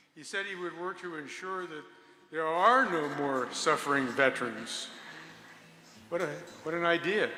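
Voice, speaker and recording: Over background music, a man with a high voice speaks at a moderate pace with ordinary pitch variation, big swings in loudness, and long, frequent pauses. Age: 70s. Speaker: war veteran and rally speaker. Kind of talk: rally speech.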